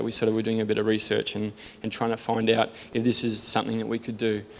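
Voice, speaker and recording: Australian-accented male speech at a medium pitch. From Sydney, Australia. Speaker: church member giving testimony. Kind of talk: testimony. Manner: self-deprecating, nervous.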